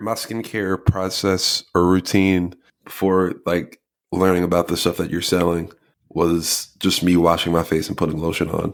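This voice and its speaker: In a very clean recording with a silent background, a man with an American accent speaks at a moderate pace in a very deep, low pitch. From New Jersey. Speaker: podcast co-host. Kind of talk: casual chat. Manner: stutters when excited.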